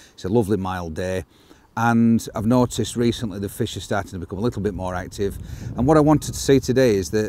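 A man's voice with ordinary pitch variation, dry with no echo, over light background noise. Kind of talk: casual outdoor explanation. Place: waterside.

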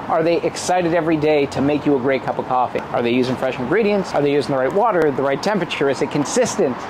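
Very fast speech from a man against noticeable background noise. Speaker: presenter. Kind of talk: local guide commentary. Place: street.

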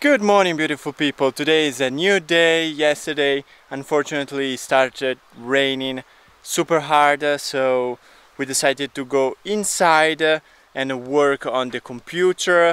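The man talks at a fairly slow pace with fairly even intonation, and the sound is dry with no echo. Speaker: vlogger. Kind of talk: casual vlog chat. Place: garden. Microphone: phone near.

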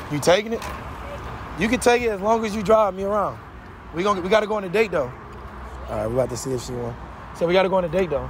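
A man with a high pitch talks at a very fast pace with lively intonation, yet leaves long, frequent pauses. The sound is dry with no echo, and there is noticeable background noise. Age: 20s. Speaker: prank video creator. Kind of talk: street prank interview. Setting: outdoors. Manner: animated. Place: street.

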